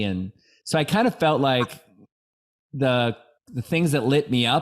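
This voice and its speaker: A man talks at a moderate pace in a normal speaking voice with ordinary pitch variation. The recording is very clean, with a silent background. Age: 50s. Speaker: podcast host. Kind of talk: interview podcast.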